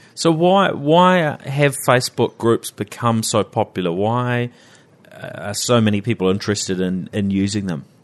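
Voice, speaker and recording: A man with a New Zealand accent, medium in pitch, moderately paced, with very wide pitch swings and a dry, close sound free of echo. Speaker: interviewer, guest host. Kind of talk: interview, casual chat.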